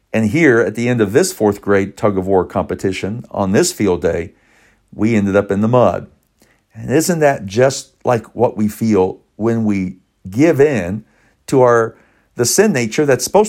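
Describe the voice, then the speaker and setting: A medium-pitched man at a moderate pace with lively intonation, on a very clean recording with a silent background. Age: 50s. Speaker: pastor. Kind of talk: sermon. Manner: animated.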